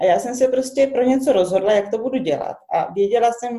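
With a dark, mellow tone, this voice varies in pitch in an ordinary way. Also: woman. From Czech Republic. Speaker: recycling workshop owner and biologist. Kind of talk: interview. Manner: halting.

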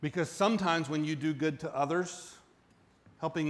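With an American accent, a man talks in a normal speaking voice, his pitch fairly high and his intonation fairly even. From US South, central Florida. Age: 40s. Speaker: pastor. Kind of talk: sermon.

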